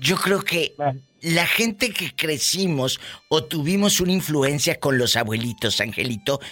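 Over noticeable background noise, a man with a fairly high pitch talks at a fairly slow pace with very wide pitch swings. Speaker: radio host. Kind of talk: casual chat. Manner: animated.

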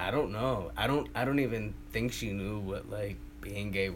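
Audible room echo surrounds a man with a New York accent, his fairly low voice making very wide pitch swings at a fairly slow pace. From Queens, New York City. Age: 20s. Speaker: oral history interviewee. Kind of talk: interview.

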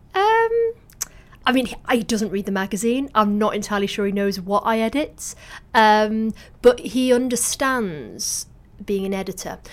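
A woman with a Mancunian accent speaks at a fairly high pitch. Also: ordinary pitch variation, moderate pace. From northern England, Salford. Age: 40s. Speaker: magazine editor and author. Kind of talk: interview. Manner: halting.

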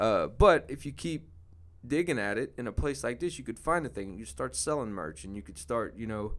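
A man with a fairly low voice and vocal fry speaks at a moderate pace, his pitch swinging very widely. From New Orleans, Louisiana. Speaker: DJ and podcaster. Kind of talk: casual chat.

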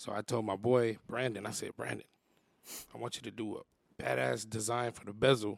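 A man with an American accent talks with vocal fry and ordinary pitch variation. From San Jose, California. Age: 30s. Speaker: content creator and comedian. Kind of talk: casual chat. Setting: studio.

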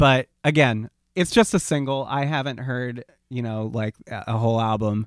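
A man talks at a moderate pace in an ordinary speaking voice, medium in pitch with ordinary pitch variation. The recording is very clean with a silent background and a dry, close sound with no echo. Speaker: podcast co-host. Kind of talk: casual banter podcast chat. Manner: joking, playful.

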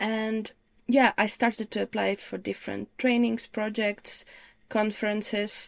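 A woman with a Ukrainian accent, fairly high-pitched and monotone with flat intonation, at a fairly slow pace, in a very clean, dry, close recording with no echo and a silent background. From Ukraine. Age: 30s. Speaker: visual practitioner. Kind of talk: interview chat.

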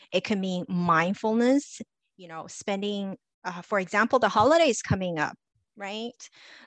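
A woman with an unremarkable speaking voice at medium pitch, lively intonation and big swings in loudness, over a quiet background with a dry, close sound and no echo. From Los Angeles, US; immigrant child. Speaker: confidence coach and speaker. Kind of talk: interview conversation.

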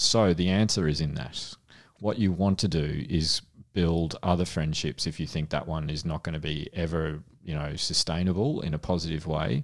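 A man with an Australian accent speaks at a moderate pace in a very deep, low pitch. His intonation stays fairly even against a quiet background. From Australia, Melbourne (Frankston). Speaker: paediatrician and podcast co-host. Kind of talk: casual chat.

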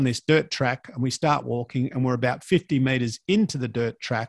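Against a quiet background, a man at medium pitch speaks fairly quickly with ordinary pitch variation in a dry, close sound with no echo. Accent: Australian. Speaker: fitness entrepreneur and podcaster. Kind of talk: casual chat.

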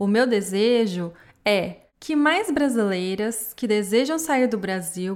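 A woman at a very slow pace, her pitch swinging very widely. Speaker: podcast host. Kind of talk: reflective monologue.

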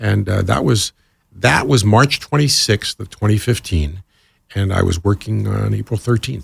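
A man's fairly low, somewhat breathy voice with lively intonation, dry and close with no echo, on a very clean recording with a silent background. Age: 60s. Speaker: radio programming executive. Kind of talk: interview.

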